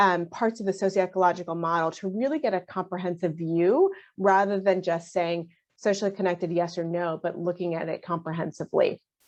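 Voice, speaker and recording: A woman of medium pitch talks at a fairly quick pace with fairly even intonation. The background is quiet. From US, child of immigrants. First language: not English. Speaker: physician. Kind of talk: panel discussion.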